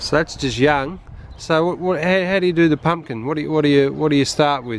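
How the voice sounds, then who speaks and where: A man speaks in a fairly high pitch with an Australian accent. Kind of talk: casual talk to camera.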